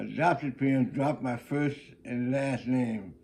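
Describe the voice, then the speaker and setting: With an American accent, a man talks at a fairly high pitch. His tone is dark and mellow. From South Carolina Sea Islands (St. Helena, Gullah area). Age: 90s. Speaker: retired greeter and former student. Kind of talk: life story interview. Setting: at his home. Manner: halting, with repetitions and false starts.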